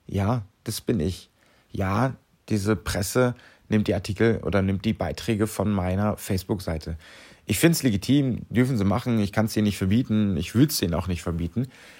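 A dark, mellow-toned man at fairly low pitch and fairly quick pace, with ordinary pitch variation, in a very clean recording with a silent background. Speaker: clown and charity volunteer. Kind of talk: solo podcast monologue.

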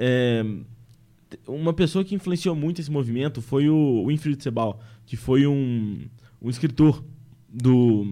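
The voice has a dark, mellow tone, with ordinary pitch variation and a fairly slow pace. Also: man. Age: 20s. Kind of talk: casual podcast conversation. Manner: hesitant, with many fillers.

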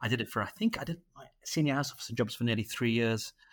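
Here a man talks at a very fast pace in a Mancunian accent. His pitch is medium, with ordinary variation. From Manchester, England. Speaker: radiologist. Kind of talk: casual interview.

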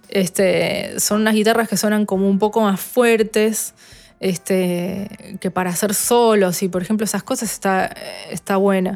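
A woman with a normal speaking voice talks at a fairly slow pace, her medium pitch carried by fairly even intonation. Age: 30s. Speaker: guitarist and producer. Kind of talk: interview.

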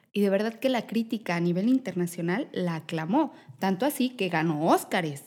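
Lively intonation marks a woman's ordinary speaking voice, pitched at medium and delivered at a moderate pace. The recording is very clean, with a silent background. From Mexico. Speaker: podcast host. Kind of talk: scripted news segment; casual interview chat.

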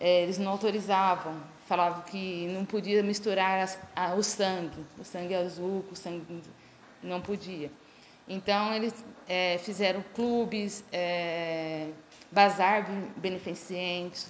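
At a very slow pace, a woman speaks at a medium pitch, leaving long, frequent pauses. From Brodowski area, São Paulo state, Brazil. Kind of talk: public talk. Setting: museum event with audience.

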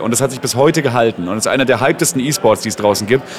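A very fast, lively-sounding man of medium pitch amid noticeable background noise. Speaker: esports caster. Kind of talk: casual interview. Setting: event venue lobby.

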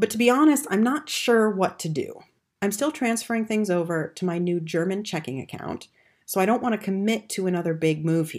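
A woman with a General American accent speaks at a fairly quick pace in an unremarkable speaking voice, her medium pitch carried by lively intonation on a very clean recording with a silent background. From United States. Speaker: podcast host. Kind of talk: solo podcast monologue, scripted-style.

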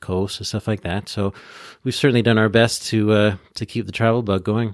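A man talks in a plain, everyday voice with a Canadian accent and a medium pitch. The recording is very clean with a silent background and a dry, close sound with no echo. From Ontario, Canada. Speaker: podcast co-host and former tour guide. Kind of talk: casual chat.

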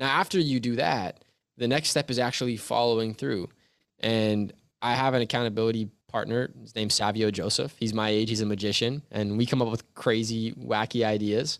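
A man talks at a fairly quick pace in a Canadian accent, with a medium pitch and fairly even intonation in a plain, everyday voice. The recording is very clean, with a silent background. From Canada, Toronto. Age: 20s. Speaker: youth coach and motivational speaker. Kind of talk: interview. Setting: home basement studio.

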